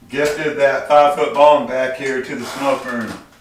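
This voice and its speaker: A man is speaking. Noticeable background noise and audible room echo fill the recording. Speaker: livestream host. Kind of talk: casual chat. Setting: livestream from a home smoke room. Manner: stutters when flustered.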